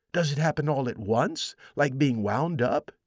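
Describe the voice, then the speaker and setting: A man uses a put-on character voice pitched fairly high. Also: moderate pace. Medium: read story. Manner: timid, curious.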